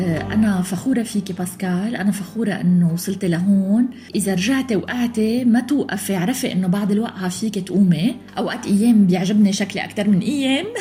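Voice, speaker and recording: A woman with a Lebanese accent speaks at a moderate pace in a medium pitch, with ordinary pitch variation, hardly any pauses and noticeable background noise. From Lebanon. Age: 40s. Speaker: academic interviewee. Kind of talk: interview testimony.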